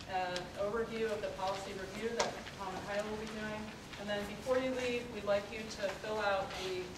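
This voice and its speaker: A woman talks at a fairly quick pace over loud background noise, with audible room echo. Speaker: forum host. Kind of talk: meeting introduction and announcements. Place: meeting room. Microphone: camera far.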